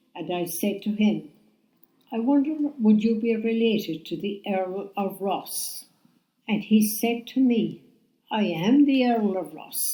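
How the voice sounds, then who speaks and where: This woman has a fairly high pitch and a somewhat breathy voice. She goes at a fairly slow pace with ordinary pitch variation and long, frequent pauses. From Ireland. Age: 80s+. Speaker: retired bed and breakfast owner. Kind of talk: podcast interview answer, storytelling.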